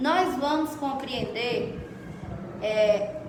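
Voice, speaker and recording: With audible room echo and noticeable background noise, the voice shows ordinary pitch variation. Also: woman. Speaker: schoolteacher. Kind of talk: classroom lesson. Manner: loud.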